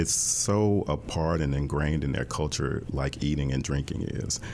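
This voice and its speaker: The loudness stays very even at a moderate pace. Noticeable background noise runs underneath. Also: man. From US South, Jackson, Mississippi. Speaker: dance professor and choreographer. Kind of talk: interview conversation.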